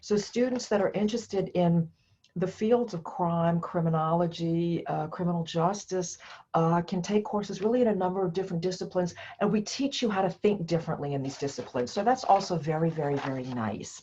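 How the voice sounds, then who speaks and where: Somewhat breathy and with a dark, mellow tone, this voice in an American accent moves at a fairly quick pace with lively intonation. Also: woman, medium pitch for a woman. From United States. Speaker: professor. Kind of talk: lecture. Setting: recorded alone to camera.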